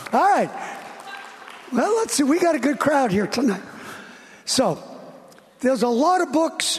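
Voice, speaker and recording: An extremely high-pitched man speaks at a moderate pace, his pitch swinging very widely while his loudness stays very even. He pauses long and often, with crowd noise in the background. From USA. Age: 70s. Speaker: preacher. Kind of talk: sermon. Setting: church.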